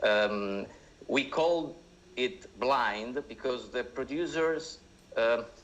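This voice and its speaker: Speaking with an Italian accent, a man moves at a very slow pace. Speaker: screenwriter and director. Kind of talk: talk. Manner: halting.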